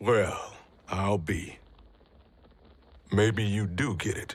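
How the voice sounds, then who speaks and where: A put-on character voice, gruff and raspy, moves at a very slow pace. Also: man, fairly low pitch for a man. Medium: video game. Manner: gruff, profane.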